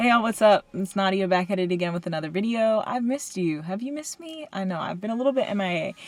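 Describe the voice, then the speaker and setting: Very fast delivery with lively intonation and hardly any pauses. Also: woman, medium pitch for a woman. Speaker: student vlogger. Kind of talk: casual vlog monologue. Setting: in a car.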